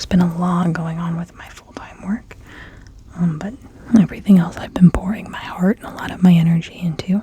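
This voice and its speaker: A woman whispers at a moderate speed, with noticeable background noise around her. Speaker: ASMR tarot reader. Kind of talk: casual talk to camera, ASMR tarot reading. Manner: soft-spoken.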